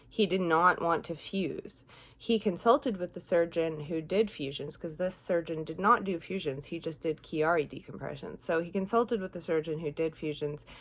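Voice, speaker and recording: Here is an ordinary speaking voice with ordinary pitch variation. There are hardly any pauses. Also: woman, fairly low pitch for a woman, moderate pace. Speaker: vlogger with chronic illness. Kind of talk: casual health vlog monologue. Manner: rambling with fillers.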